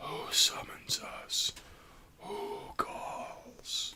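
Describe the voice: Whispering, a man puts on a character voice.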